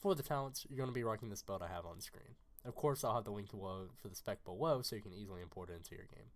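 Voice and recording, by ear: He talks at a fast pace in a fairly low pitch. The man's pitch variation is ordinary.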